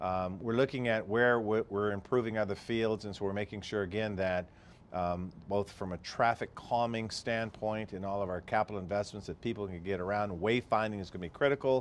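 A man with a plain, everyday voice talks at a fairly quick pace with hardly any pauses and fairly even intonation, over light background noise. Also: fairly low pitch for a man. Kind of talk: interview answer. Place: office. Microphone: lapel.

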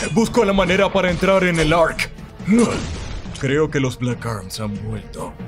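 Over clear background music, a man uses a put-on character voice, fairly high-pitched and fairly slow.

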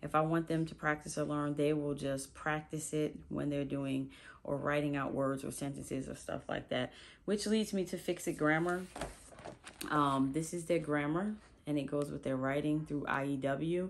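A woman with a very deep, low pitch, fairly even intonation and a moderate pace, over light background noise. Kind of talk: casual vlog chat. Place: home room. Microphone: phone near.

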